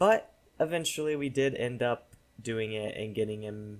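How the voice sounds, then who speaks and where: On a very clean recording with a silent background, a man in a normal speaking voice talks at a moderate pace with a medium pitch and ordinary pitch variation. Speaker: gaming YouTuber. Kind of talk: game commentary. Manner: casual, filler-heavy.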